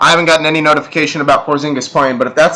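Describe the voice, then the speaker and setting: A man speaks with a fairly high pitch. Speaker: fantasy sports analyst. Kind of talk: casual livestream analysis. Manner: fast.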